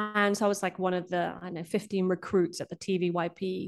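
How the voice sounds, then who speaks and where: Over music in the background, a woman speaks at a fairly quick pace with a medium pitch and fairly even intonation. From Brazil. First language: Portuguese. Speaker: documentary director. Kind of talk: interview conversation. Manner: halting, with fillers.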